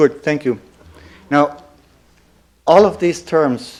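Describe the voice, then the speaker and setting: With a German accent, the speaker talks at a fairly slow pace using lively intonation. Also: man. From Germany. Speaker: lecturer.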